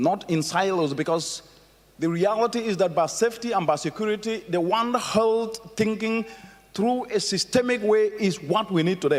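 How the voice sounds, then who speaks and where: Over noticeable background noise, a man with a high pitch speaks in an animated tone at a moderate pace. His intonation is lively while his loudness stays very even. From Africa. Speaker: keynote speaker. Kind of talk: conference keynote speech. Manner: animated, rhetorical.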